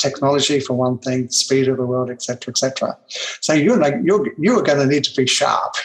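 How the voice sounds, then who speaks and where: A man's fairly high voice with an Australian accent, fairly quick pace, ordinary pitch variation and noticeable background noise. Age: 70s. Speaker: personal development trainer. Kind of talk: interview storytelling.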